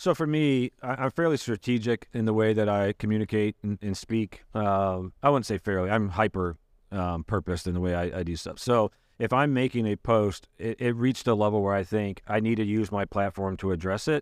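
A man with an American accent and an unremarkable speaking voice, fairly low in pitch with ordinary variation, at a fairly quick pace with hardly any pauses, on a very clean, dry, close recording with no echo and a silent background. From Michigan. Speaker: pastor. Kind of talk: casual chat.

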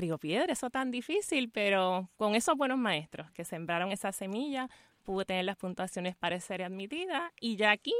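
A woman talks at a fairly quick pace in an ordinary speaking voice of medium pitch. The sound is dry and close, with no echo. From Puerto Rico, Fajardo. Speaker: law school dean. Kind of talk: radio interview. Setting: radio studio, live.

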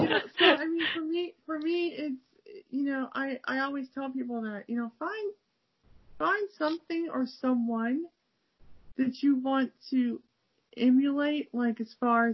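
A woman's high voice with an American accent, lively intonation and a fairly slow pace. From Cleveland, Ohio. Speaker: podcast host, language learner. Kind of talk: casual interview chat. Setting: video call.

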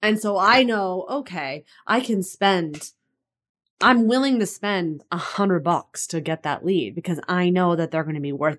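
A plain, everyday voice with an American accent moves at a fairly slow pace with lively intonation. The recording is very clean, the background silent. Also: woman, medium pitch for a woman. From California. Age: 30s. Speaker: online fitness and business coach. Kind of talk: interview.

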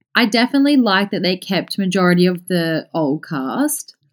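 In a very clean, dry, close recording with no echo and a silent background, a woman with an Australian accent speaks with very wide pitch swings. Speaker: podcast listener. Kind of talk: casual chat.

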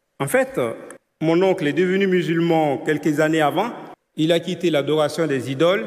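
Pitched fairly high, a man speaks at a moderate pace with ordinary pitch variation and very even loudness. He takes long, frequent pauses. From Ivory Coast. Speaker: church member. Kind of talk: testimony.

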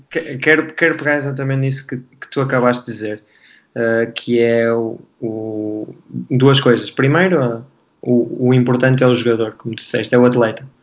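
A man with a plain, everyday voice speaks at a moderate pace and medium pitch, his intonation fairly even. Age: 30s. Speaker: basketball coach. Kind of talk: panel discussion.

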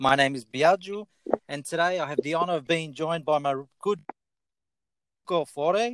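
With an Australian accent, a man talks at a moderate pace in a fairly high pitch with ordinary pitch variation, the sound dry and close with no echo. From Italy, raised in Australia. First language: Italian. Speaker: podcast host. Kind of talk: interview. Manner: talkative.

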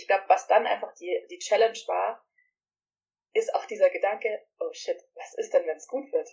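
Here a woman is speaking. Her pace is moderate. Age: 30s. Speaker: yoga teacher. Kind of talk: casual chat.

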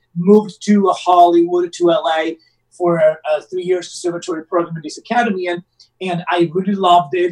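Someone speaks with an Italian accent at a fairly quick pace and with fairly even intonation. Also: man. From Rome, Italy. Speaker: actor. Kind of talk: casual interview. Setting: remote call from Southern California. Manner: halting, hesitant with fillers.

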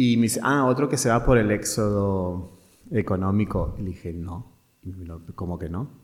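At a moderate pace, a man with a fairly low pitch and ordinary pitch variation speaks with big swings in loudness. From Argentina, Mendoza. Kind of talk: interview, personal story. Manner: halting.

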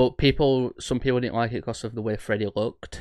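A man talks in a normal speaking voice, keeping a fairly quick pace. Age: 20s. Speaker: horror podcast host. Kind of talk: casual chat.

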